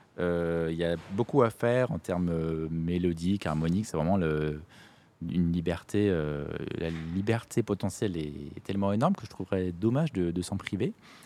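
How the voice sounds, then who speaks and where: Using lively intonation, a man with a very deep, low pitch talks at a moderate pace. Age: 30s. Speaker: musician. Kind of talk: casual chat.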